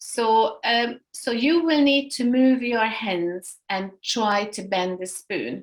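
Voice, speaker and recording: A woman with a Hungarian accent speaks at a very slow pace with hardly any pauses. Her voice is fairly high, and her intonation is lively. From Hungary. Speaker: energy healing instructor. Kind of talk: workshop instruction. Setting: video call. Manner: halting.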